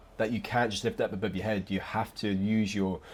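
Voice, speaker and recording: A man with an English accent mumbles at a fairly quick pace. His voice sits fairly low. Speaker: fitness vlogger. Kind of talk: casual voiceover commentary. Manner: mumbling, occasional stutter; relaxed.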